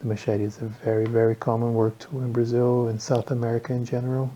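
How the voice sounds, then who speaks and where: A somewhat breathy man at a medium pitch talks at a fairly quick pace with fairly even intonation. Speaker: knife enthusiast. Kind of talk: casual talk to camera.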